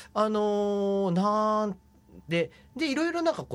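Over a very clean recording with a silent background, a man talks at a fairly slow pace. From Fukuoka, Tagawa. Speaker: photographer. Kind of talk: interview.

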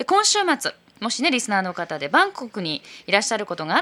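A bright, sharp tone at a very fast pace with very wide pitch swings. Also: woman. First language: Japanese. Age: 40s. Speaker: radio host. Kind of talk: radio show segment, bilingual.

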